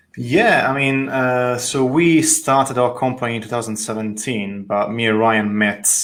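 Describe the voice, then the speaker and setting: A man speaks with an Italian accent at a moderate pace. His intonation stays fairly even. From Italy, Tuscany. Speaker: architect. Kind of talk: interview conversation. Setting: video call.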